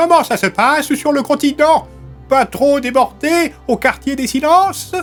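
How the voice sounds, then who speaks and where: Faint music plays in the background as someone does a put-on character voice at a moderate pace. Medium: read story.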